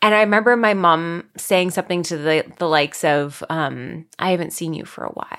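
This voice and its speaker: In a Canadian accent, a woman speaks in an ordinary speaking voice, fairly low-pitched, at a moderate pace with hardly any pauses, big swings in loudness and ordinary pitch variation. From Ontario, Canada. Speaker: content creator and podcast host. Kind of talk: casual interview chat.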